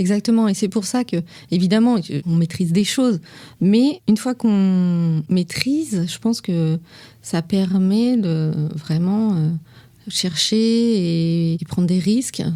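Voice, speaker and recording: A woman talks very slowly in a dark, mellow tone at medium pitch, with ordinary pitch variation and long, frequent pauses. The recording is very clean, with a silent background. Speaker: perfumer. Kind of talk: interview answer. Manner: calm, composed.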